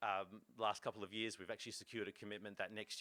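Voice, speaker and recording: The voice has a bright, sharp tone and an Australian accent. It moves at a very fast pace. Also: man. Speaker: fishing association executive. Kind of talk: conference talk. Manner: halting, many fillers.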